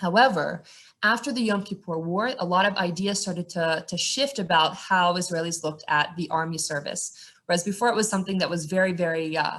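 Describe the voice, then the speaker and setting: A woman with an American accent, fairly low-pitched, with ordinary pitch variation, a fairly quick pace, hardly any pauses, and a normal speaking voice. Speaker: tour guide. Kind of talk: guided tour talk.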